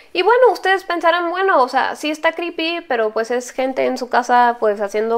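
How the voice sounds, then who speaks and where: A woman speaks at a very fast pace with lively intonation. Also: quiet background. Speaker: YouTuber, paranormal story channel host. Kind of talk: casual vlog commentary. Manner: animated. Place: home room. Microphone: lapel.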